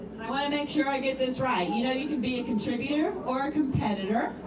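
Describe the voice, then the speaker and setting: A loud woman with a high pitch and ordinary pitch variation talks at a fairly quick pace, with audible room echo and noticeable background noise. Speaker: event announcer. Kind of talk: award announcement.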